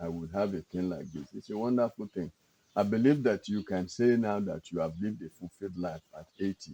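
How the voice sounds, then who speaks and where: A man with a fairly low pitch and a dark, mellow tone speaks in fairly even intonation, the sound dry and close with no echo. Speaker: interviewer. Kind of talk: interview questions.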